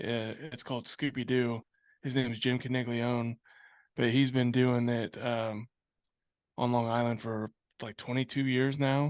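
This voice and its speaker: A man speaks slowly in a medium-pitched voice with monotone, flat intonation and long, frequent pauses. The sound is dry and close, with no echo. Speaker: business owner. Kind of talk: interview. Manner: pauses to breathe; casual.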